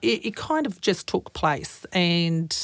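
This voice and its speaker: A woman speaks with an Australian accent. Her pitch swings very widely. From rural Queensland, Australia. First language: Croatian. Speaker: fire and emergency services commissioner. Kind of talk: interview. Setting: studio.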